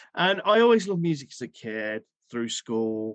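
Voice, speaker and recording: Against a quiet background, a man with a British accent speaks at a medium pitch and a moderate pace. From English Midlands. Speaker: singer and plumber. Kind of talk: podcast interview.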